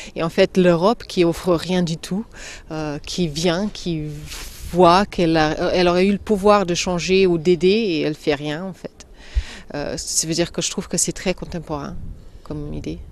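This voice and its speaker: Against noticeable background noise, a woman with a non-native accent speaks at a fairly slow pace, her pitch fairly low and her intonation fairly even. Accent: foreign accent in every language she speaks. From Slovenia. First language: Slovene (speaking French). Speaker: actress. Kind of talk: interview. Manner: halting, many hesitations.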